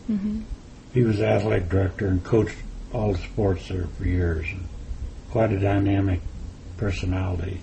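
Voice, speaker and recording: A man speaks with a Midwestern American accent in a very deep, low voice. His intonation is fairly even, and there is noticeable background noise. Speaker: former athlete. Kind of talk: interview answer.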